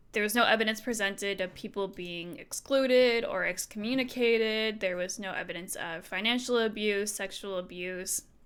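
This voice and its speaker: A normal speaking voice at a moderate pace, with ordinary pitch variation and hardly any pauses. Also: woman, medium pitch for a woman. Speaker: streamer. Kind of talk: reading aloud with commentary. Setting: live stream. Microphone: new microphone after broken cable.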